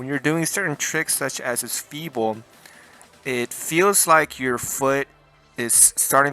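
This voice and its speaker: A man is speaking. Music plays in the background. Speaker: skateboarder, shoe reviewer. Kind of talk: casual talk to camera. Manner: stuttering.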